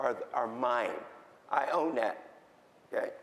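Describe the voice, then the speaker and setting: A man with an American accent at a fairly slow pace, with audible room echo. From Philadelphia, US. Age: 70s. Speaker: patient advocate. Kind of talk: conference talk. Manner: halting.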